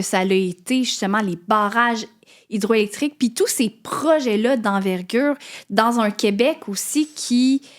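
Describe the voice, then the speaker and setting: A woman with an ordinary speaking voice uses lively intonation, recorded very cleanly against a silent background. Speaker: podcast host. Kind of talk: interview question.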